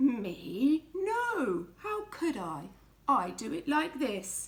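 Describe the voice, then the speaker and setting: Using a put-on character voice, a woman talks at a high pitch and a very slow pace. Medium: read story. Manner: matter-of-fact.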